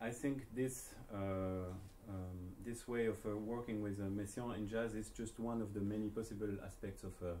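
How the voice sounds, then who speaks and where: The tone is dark and mellow, with fairly even intonation at a moderate pace. Audible room echo surrounds the voice. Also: man. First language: not English. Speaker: jazz saxophonist and researcher. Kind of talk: lecture. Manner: halting, many fillers.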